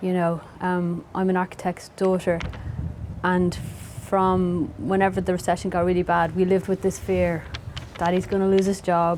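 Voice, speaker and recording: A woman's fairly low voice at a moderate pace. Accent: Dublin. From Dublin, Ireland (Howth). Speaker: novelist. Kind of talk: interview conversation.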